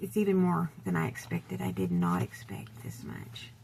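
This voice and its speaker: With vocal fry and very wide pitch swings, a soft-spoken woman talks at a moderate pace. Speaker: vintage seller. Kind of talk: casual talk to camera. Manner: quiet.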